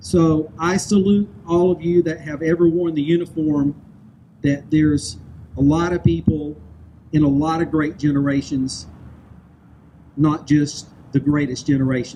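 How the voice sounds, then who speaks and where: Long, frequent pauses break up a man's fairly high voice, which has ordinary pitch variation. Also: fairly slow pace. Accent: Southern US. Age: 60s. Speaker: public speaker. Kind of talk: speech.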